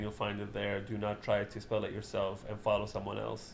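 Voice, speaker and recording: A man with an Arabic accent speaks at a moderate pace. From Libya, Benghazi. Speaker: comedian and writer. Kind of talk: casual chat.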